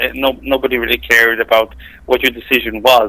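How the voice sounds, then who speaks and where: A man with an Israeli accent. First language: Hebrew. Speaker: software tester and gamer. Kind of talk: casual chat.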